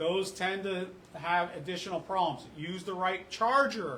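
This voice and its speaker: There is noticeable background noise and audible room echo as a man speaks in a high pitch. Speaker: fire rescue officer. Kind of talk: public meeting presentation. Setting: community council meeting. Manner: fast.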